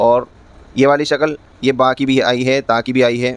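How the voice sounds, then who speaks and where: A man with a plain, everyday voice. His pitch sits in the middle range and his intonation stays fairly even. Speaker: Quran teacher. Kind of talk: Quran lesson teaching, explaining letter shapes.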